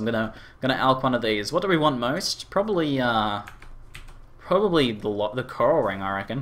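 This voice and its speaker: With an Australian accent, a man speaks at a medium pitch with lively intonation. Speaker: gaming streamer. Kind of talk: live stream commentary. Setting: live stream. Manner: casual, thinking aloud with many fillers.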